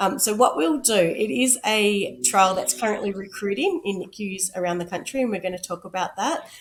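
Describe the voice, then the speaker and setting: Against noticeable background noise, a woman with a medium pitch talks at a moderate pace using lively intonation. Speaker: podcast host. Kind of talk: casual interview.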